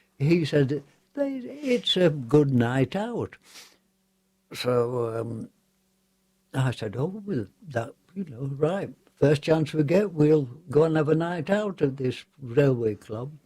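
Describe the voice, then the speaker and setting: A man with an English accent speaks at a very slow pace with long, frequent pauses, his fairly high voice somewhat breathy and dark and mellow in tone. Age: 90s. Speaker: war veteran. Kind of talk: radio interview storytelling. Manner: halting.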